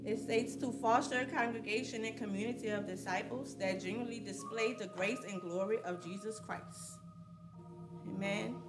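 A woman speaks with clear music in the background. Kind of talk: scripture reading. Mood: solemn, devotional. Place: church.

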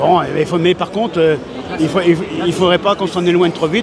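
At a very fast pace and with fairly even intonation, the voice comes through dry with no echo amid noticeable background noise. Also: man. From Vendée, western France. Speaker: rural comedian. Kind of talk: interview answer. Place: hall. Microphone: handheld.

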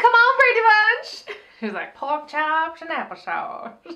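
A woman speaks at a very slow pace in an extremely high, raised, projected voice with a bright, sharp tone. Her pitch swings very widely and her loudness rises and falls sharply over a quiet background. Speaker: TV recap show co-host. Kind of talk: casual chat. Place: home room.

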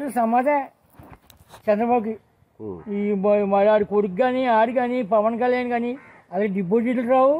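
A man's extremely high-pitched voice with ordinary pitch variation. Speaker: pensioner. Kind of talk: angry political complaint to news camera. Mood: angry, scolding politicians. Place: open country. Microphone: phone near.

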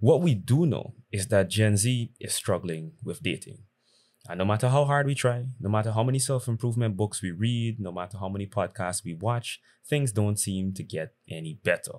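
Here a man with a fairly low pitch speaks at a moderate pace. His pitch varies in an ordinary way over a quiet background. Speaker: dating commentary creator. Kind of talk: commentary to camera. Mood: serious, reflective. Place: home room. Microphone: studio mic.

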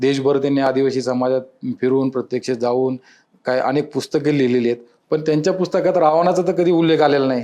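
This man's voice has a dark, mellow tone and fairly high pitch, with ordinary pitch variation and very even loudness. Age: 40s. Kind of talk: interview.

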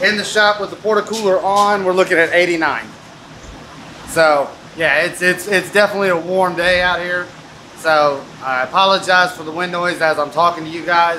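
Someone talks at a moderate pace with fairly even intonation over light background noise. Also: man, high pitch for a man. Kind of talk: casual vlog chat. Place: workshop. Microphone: phone near.

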